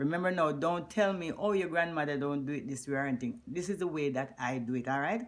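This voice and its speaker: Speaking at a fairly quick pace with a Jamaican accent, a woman uses a very deep, low pitch that swings very widely. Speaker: cooking vlogger. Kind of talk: cooking tutorial. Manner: animated.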